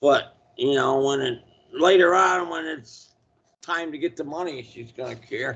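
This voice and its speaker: A man with an unremarkable speaking voice talks at a fairly slow pace and a fairly high pitch. His loudness swings widely, while his pitch varies in an ordinary way. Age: 60s. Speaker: spiritual consultant. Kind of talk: casual chat. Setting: video call.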